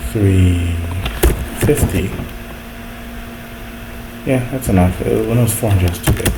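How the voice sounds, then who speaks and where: Soft-spoken, fairly slow speech with long, frequent pauses over noticeable background noise. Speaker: programmer, video creator. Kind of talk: coding tutorial, casual talk while programming.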